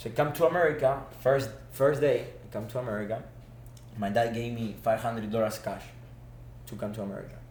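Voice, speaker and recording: With an Argentine accent, a man talks at a very fast pace, medium in pitch with vocal fry and ordinary pitch variation. Long, frequent pauses, big swings in loudness and audible room echo mark the clip. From Argentina. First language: Spanish. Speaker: former student athlete, business manager. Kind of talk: podcast interview. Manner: animated.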